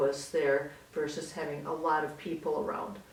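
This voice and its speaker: Delivered at a moderate pace with ordinary pitch variation, the speech carries audible room echo over noticeable background noise. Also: woman. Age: 60s. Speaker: senior co-op resident. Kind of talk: casual interview.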